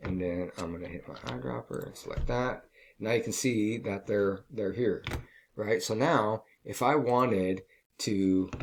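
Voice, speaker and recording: In a very clean recording with a silent background, a man with an ordinary speaking voice and a fairly low pitch speaks at a fairly slow pace with lively intonation. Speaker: design teacher. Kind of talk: tutorial. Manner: casual, filler-heavy.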